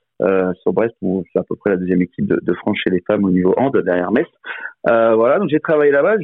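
A man's medium-pitched voice, lively in intonation, at a fairly quick pace. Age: 40s. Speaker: former professional sports bettor. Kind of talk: casual interview. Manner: halting, repeats words.

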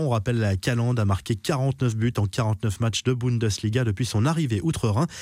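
Medium in pitch with ordinary pitch variation, a man speaks in a dark, mellow tone. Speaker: sports news presenter. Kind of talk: sports news reading, scripted daily football news bulletin. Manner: brisk, steady newsreader delivery, formal and neutral.

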